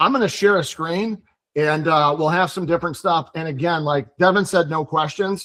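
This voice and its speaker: High pitch for a man, with ordinary pitch variation. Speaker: mortgage broker. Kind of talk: online presentation. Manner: fast.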